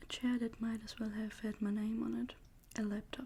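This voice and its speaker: The voice is whispering and soft-spoken. It sounds somewhat breathy. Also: woman. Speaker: ASMR creator. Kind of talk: novel reading, narration with dialogue. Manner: soft-spoken, whispered.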